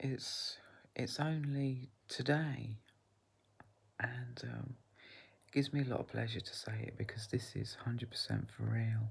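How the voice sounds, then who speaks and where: A soft-spoken woman talks at a fairly slow pace. Her speech has long, frequent pauses. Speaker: vlogger. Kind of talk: casual vlog monologue. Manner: quiet, soft-spoken; halting, many fillers.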